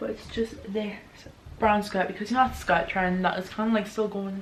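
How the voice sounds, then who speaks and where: Over noticeable background noise and audible room echo, a woman talks at a fairly quick pace with a medium pitch and monotone, flat intonation. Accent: British. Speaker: youtuber. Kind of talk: haul video, casual talk to camera. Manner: fast.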